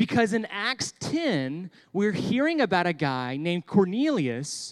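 In a very clean recording with a silent background, a man with an American accent speaks fairly slowly, his voice high for a man and swinging very widely in pitch. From Texas. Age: 30s. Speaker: pastor. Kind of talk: sermon for children. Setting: church.

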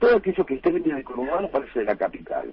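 A man talks in a Rioplatense accent. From Buenos Aires conurbano, Argentina. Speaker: humorist and author. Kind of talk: radio interview. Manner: halting, repeats words.

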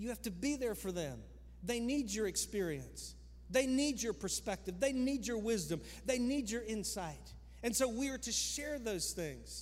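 A man's animated tone at a moderate pace, with audible room echo. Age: 50s. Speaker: pastor. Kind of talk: sermon. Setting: church.

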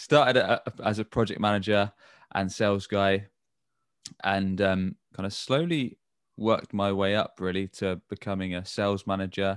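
Here a man speaks with a British accent. His pitch is fairly low. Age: 30s. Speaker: agency co-founder and sales director. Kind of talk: interview.

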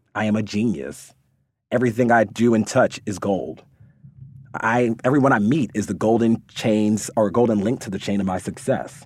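An ordinary speaking voice: a man with a fairly low pitch talks at a moderate pace on a very clean recording with a silent background. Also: ordinary pitch variation. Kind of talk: pep talk. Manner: warm, encouraging.

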